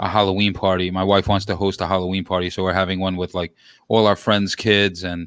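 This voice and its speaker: In a New York accent, a man speaks at a fairly quick pace with a very deep, low pitch and monotone, flat intonation. The recording is very clean with a silent background and a dry, close sound with no echo. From New York City, Queens. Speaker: sports podcast host, guest. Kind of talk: casual chat. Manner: loud.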